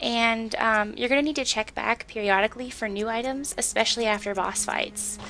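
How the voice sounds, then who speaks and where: With music in the background, a woman talks at a fairly quick pace with hardly any pauses, using a fairly high pitch and fairly even intonation. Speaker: gaming walkthrough narrator. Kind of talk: game tutorial voiceover.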